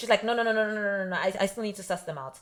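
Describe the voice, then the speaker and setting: An animated woman with an African accent and a fairly high pitch. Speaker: podcast co-host. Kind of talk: casual chat.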